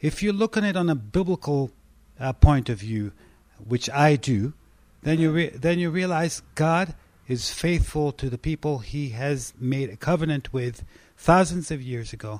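At a moderate pace, a man with an Israeli accent uses a fairly high pitch and lively intonation. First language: Hebrew. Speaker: pastor. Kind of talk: personal testimony in interview.

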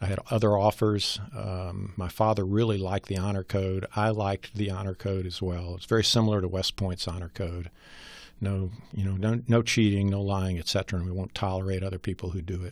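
A man with an American accent talks at a fairly quick pace and a fairly low pitch. His intonation is monotone and flat, over a quiet background. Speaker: former congressman and war veteran. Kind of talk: interview. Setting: studio.

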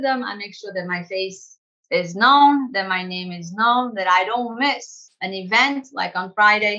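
With a bright, sharp tone and lively intonation, a woman speaks fairly high and fairly slowly in an American accent. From Portugal, raised there from early childhood to age 12, then US. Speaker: language school director. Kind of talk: casual interview.

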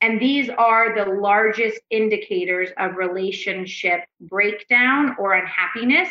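With a normal speaking voice, a woman talks at a fairly slow pace with hardly any pauses, at a medium pitch with ordinary pitch variation. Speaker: couples therapist. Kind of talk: casual podcast interview. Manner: frequent filler words, loose rambling delivery.

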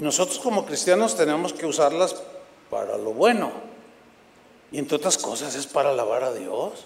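An animated man speaks with very wide pitch swings over noticeable background noise. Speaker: preacher. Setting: church with congregation.

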